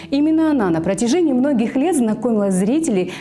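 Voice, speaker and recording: A woman moves at a fairly quick pace with very wide pitch swings, and noticeable background noise can be heard. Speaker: TV journalist. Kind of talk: interview questions.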